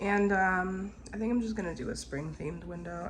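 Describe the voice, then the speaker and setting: A woman with a relaxed tone speaks at a moderate pace, with audible room echo and noticeable background noise. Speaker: family vlogger. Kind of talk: casual vlog. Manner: relaxed, rambling.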